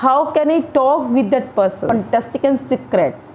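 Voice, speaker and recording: A high-pitched woman speaks at a fairly slow pace with lively intonation over noticeable background noise. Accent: Indian. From India. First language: Hindi. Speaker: English teacher. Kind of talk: tutorial. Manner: halting.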